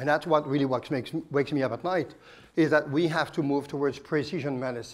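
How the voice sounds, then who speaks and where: A man's fairly high voice at a very fast pace, with fairly even intonation. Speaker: oncologist. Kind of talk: conference presentation.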